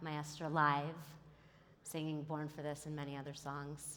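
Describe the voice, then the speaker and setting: A woman talks at a moderate pace with a very deep, low pitch. Audible room echo surrounds her voice. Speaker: attorney and company founder giving a conference talk. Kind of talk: keynote speech. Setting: stage with audience.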